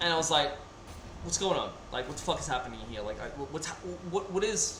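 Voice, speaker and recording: The speech comes at a very fast pace, broken by long, frequent pauses. Audible room echo and noticeable background noise fill the recording. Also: man. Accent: Australian. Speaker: gaming streamer. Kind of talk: casual chat. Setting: live stream. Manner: halting.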